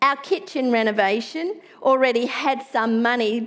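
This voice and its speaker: At a fairly slow pace, the speaker talks with an Australian accent. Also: woman. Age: middle-aged. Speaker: pastor. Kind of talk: sermon. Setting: church. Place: church.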